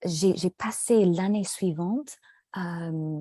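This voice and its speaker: A woman speaks very slowly in an English accent, at medium pitch with ordinary pitch variation. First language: English (speaking French). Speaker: French language student. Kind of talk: casual conversation in a language lesson. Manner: halting, many hesitations.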